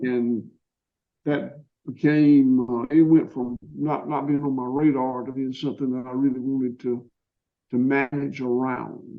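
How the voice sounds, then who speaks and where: Speaking at a fairly slow pace, a man with a Georgia accent holds a medium pitch in a monotone, flat intonation. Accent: Southern US (Georgia). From US South, Georgia. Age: 60s. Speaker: farmer. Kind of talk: interview. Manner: halting, with repetitions.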